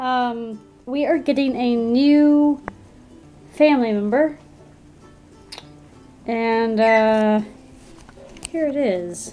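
Faint music plays in the background as a woman speaks very slowly at a high pitch with ordinary pitch variation. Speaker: vlogger. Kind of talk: casual vlog chat. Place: home room. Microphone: phone near.

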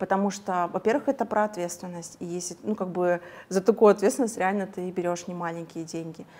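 Here a woman speaks at a moderate pace. Her pitch variation is ordinary. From Kazakhstan. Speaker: hair colorist and coach. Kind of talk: interview. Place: studio. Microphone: lapel.

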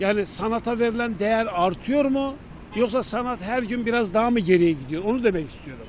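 This man has a high pitch and ordinary pitch variation, speaking at a moderate pace in a dry recording with no echo and light background noise. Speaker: street interviewer. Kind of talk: street interviews. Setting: outdoors. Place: street. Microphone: handheld.

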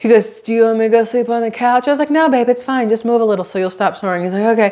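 A woman speaks at a very fast pace with ordinary pitch variation. The background is quiet. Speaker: vlogger. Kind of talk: casual vlog chat. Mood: amused storytelling. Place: kitchen.

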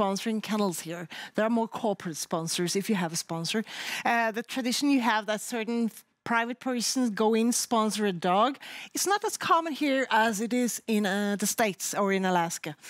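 At a moderate pace, a woman with a Norwegian accent speaks at a fairly high pitch in a dry, echo-free recording with a quiet background. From Norway. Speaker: sled dog racing commentator. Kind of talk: studio panel talk. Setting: studio. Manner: animated. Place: studio. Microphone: headset.

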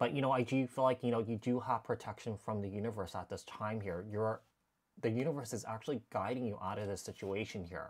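The setting is quiet. A man rattles off his words very fast, his pitch varying in an ordinary way. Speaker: tarot reader. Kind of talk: tarot reading commentary. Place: home room. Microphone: lapel.

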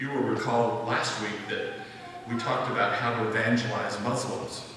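A man's voice carries strong room echo, with light background noise behind it. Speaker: presenter. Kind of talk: church announcement talk. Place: church.

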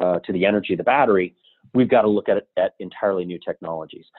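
A man with an American accent speaks in a plain, everyday voice. His pitch is fairly low, with ordinary variation. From US Southwest, Albuquerque, New Mexico. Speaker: entrepreneur, company founder. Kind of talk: interview.

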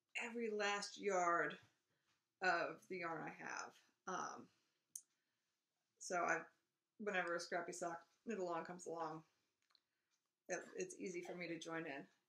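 Fairly low in pitch, a woman's voice has a bright, sharp tone and fairly even intonation. She keeps a moderate pace with long, frequent pauses. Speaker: knitting podcast host. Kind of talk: casual vlog chat. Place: home room. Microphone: webcam.

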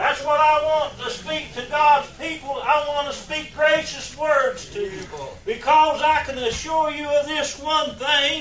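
A man's extremely high-pitched voice, fairly bright in tone, at a fairly slow pace with fairly even intonation and audible room echo.

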